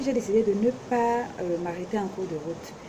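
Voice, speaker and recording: A woman talks fairly slowly with ordinary pitch variation, noticeable noise sounding in the background. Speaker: vlogger, self-taught fashion designer. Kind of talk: casual vlog introduction. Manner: hesitant, many fillers; speaks loudly.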